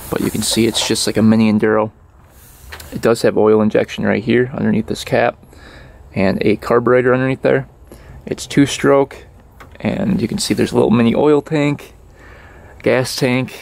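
The sound is dry with no echo, and the moderate pace is broken by long, frequent pauses. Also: man. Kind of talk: casual vlog chat. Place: open country. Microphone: phone near.

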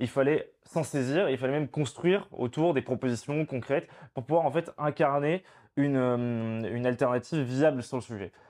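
A man talks at a moderate pace with ordinary pitch variation, and the background stays quiet. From Provence, France (partly raised in Spain). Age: 20s. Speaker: political activist spokesperson. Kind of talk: interview. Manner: hesitant, many fillers and repetitions. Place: home room. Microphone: lapel.

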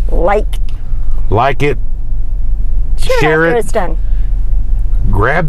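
Noticeable background noise runs behind a man. His moderate-paced speech sounds dry, without any echo. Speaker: vlog host. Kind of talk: casual vlog chat. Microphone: lapel.

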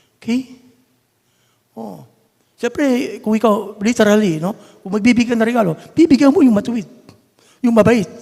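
The delivery has an animated tone and ordinary pitch variation. It moves at a moderate pace with long, frequent pauses. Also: man, extremely high pitch for a man. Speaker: church elder preacher. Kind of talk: sermon. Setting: church. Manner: animated, conversational.

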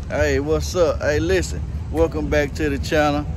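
Amid noticeable background noise, a man talks at a moderate pace with very wide pitch swings, the sound dry with no echo. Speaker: YouTube channel co-host. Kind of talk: casual vlog chat. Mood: cheerful, upbeat. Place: street. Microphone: phone near.

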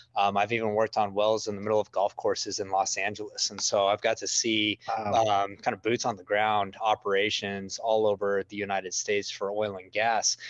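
A man with an American accent speaks in a fairly low pitch at a fairly quick pace with hardly any pauses and monotone, flat intonation, in a dry sound with no echo against a quiet background. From West Texas (Midland, Permian Basin); West Texas. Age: 30s. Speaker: oil and gas media creator, former driller; gas media creator. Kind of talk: casual chat. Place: office. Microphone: video call.

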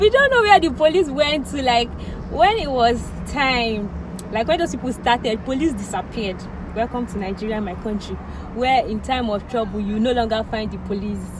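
Noticeable background noise behind a woman's voice of ordinary pitch variation. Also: dry sound with no echo. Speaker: vlogger. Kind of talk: casual vlog chat, storytelling. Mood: animated, recounting tense events. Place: car. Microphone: phone near.

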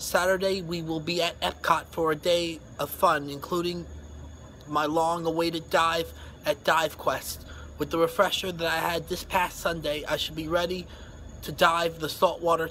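A man at a moderate pace, high pitch, monotone, flat intonation, over light background noise. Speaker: vlogger. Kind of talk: casual vlog talk to camera. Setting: outdoors at night. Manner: quiet, hushed. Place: street. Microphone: phone near.

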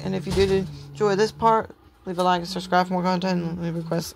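Over noticeable background noise, a woman talks at a fairly quick pace with a fairly low pitch. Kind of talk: casual vlog chat. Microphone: phone near.

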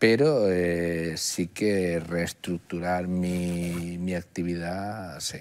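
A man talks in a very deep, low pitch at a very slow pace. His intonation is fairly even, with hardly any pauses. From Andalusia, Málaga province (Archidona); Andalusia. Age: 60s. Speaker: oncologist; interview guest. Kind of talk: interview. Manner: halting. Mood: calm, reflective. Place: studio. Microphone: lapel.

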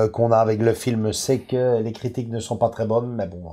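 With a Belgian accent, a man speaks at a moderate pace in a dark, mellow tone against a quiet background. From Belgium. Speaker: film collector video host. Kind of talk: casual chat. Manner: halting, many fillers. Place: home room.

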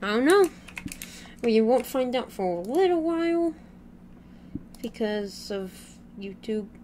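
A woman with a fairly high pitch speaks at a fairly slow pace, her pitch swinging very widely, with long, frequent pauses over noticeable background noise. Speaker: gaming YouTuber. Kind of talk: casual gaming chat.

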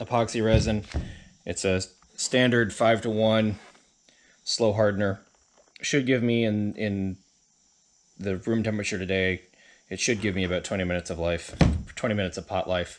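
Using a plain, everyday voice, a man speaks fairly quickly at a fairly low pitch with ordinary pitch variation. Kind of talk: tutorial. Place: home room. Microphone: phone near.

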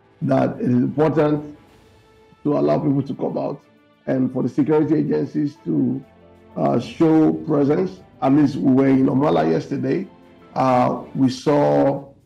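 A man speaks at a moderate pace. Faint music sounds behind him. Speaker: candidate. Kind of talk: interview answer. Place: home room. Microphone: video call.

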